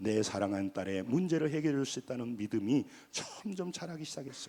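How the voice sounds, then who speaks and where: A man talks with lively intonation at a moderate pace, captured on a very clean recording against a silent background. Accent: Jeolla. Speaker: pastor. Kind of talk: sermon. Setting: church. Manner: animated.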